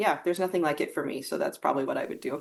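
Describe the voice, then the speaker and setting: Her pitch fairly low, a woman speaks with an American accent. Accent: American, noticeable to British hosts. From US Midwest. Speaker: guest, writer. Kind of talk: casual interview.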